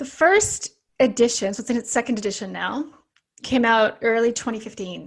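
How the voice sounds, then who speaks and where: A plain, everyday voice with a Canadian accent and ordinary pitch variation. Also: woman, fairly high pitch for a woman, moderate pace. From Canada. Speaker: naturopathic doctor and author. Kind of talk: podcast interview.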